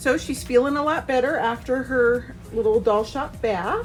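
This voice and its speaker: Speaking at a fairly slow pace, a woman has an unremarkable speaking voice, fairly high pitch and ordinary pitch variation. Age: 30s. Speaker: doll shop owner and vlogger. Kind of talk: casual vlog. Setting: doll shop.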